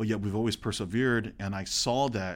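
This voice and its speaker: Speaking at a very fast pace, a man keeps a fairly low pitch and fairly even intonation. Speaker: language activist. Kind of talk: casual interview discussion.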